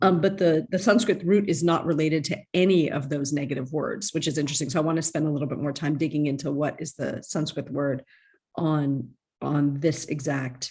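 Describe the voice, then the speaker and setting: A woman with a very deep, low, somewhat breathy voice speaks at a fairly quick pace with ordinary pitch variation. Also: quiet background. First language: Indic language. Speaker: student. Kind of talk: class discussion.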